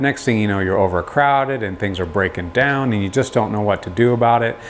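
A man speaks with music playing in the background. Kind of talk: casual vlog chat. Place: garage. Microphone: lapel.

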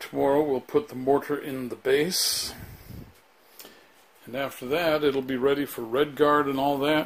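A man with a fairly high pitch speaks at a moderate pace in a flat monotone, leaving long, frequent pauses. His loudness swings widely over light background noise. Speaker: DIY remodeler. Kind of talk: casual walkthrough to camera. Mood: pleased, upbeat. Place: bathroom. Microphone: phone near.

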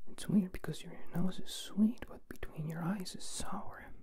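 A man whispers at a fairly slow pace. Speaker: ASMR creator. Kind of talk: soft ASMR roleplay talk to the viewer. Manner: soft-spoken close-mic ASMR murmur. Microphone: handheld.

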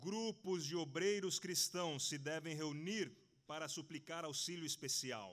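Here a man speaks at a fairly high pitch. His pitch varies in an ordinary way, and the background is quiet. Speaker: preacher. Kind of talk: sermon. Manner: slow, in short phrases for interpreting. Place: hall.

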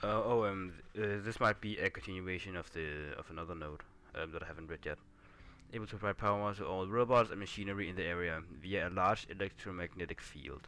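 A man with a non-native accent speaks very fast in a very deep, low voice. His tone is bright and sharp, his intonation fairly even. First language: not English. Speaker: gaming YouTuber. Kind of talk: let's play gameplay commentary. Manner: casual, hesitant with fillers.

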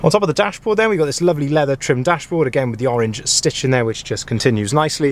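At a fast pace, a man speaks at medium pitch with ordinary pitch variation and faint background noise.

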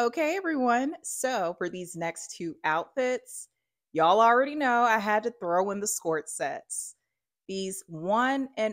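A woman in an Alabama accent, animated in tone, with very wide pitch swings and a fairly slow pace, against a quiet background. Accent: Southern US, Alabama. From US South, Alabama. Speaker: fashion YouTuber. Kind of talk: try-on haul vlog. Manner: chatty, animated. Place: home room.

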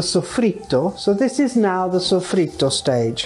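Her pitch swings very widely. The woman talks at a fairly slow pace. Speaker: chef. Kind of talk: cooking demonstration to camera. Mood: warm, enthusiastic. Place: kitchen.

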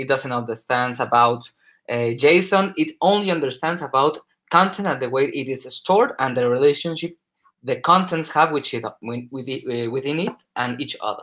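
Against a quiet background, the speaker uses a bright, sharp tone with a Spanish accent, ordinary pitch variation and a moderate pace. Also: man, fairly high pitch for a man. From Spain. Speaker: solution specialist. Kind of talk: conference presentation. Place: home room. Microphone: webcam.

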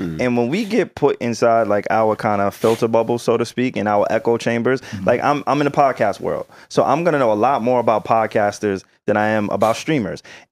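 Faint music plays behind a man talking at a fairly quick pace with hardly any pauses. His pitch varies in an ordinary way. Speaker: podcast co-host. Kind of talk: casual chat. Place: studio. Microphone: studio mic.

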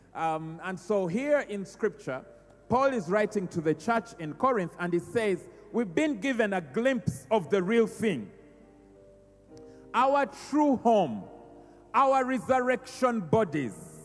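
A man speaks at a very slow pace with long, frequent pauses. Faint music plays in the background. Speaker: pastor. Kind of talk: sermon. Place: church. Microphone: handheld.

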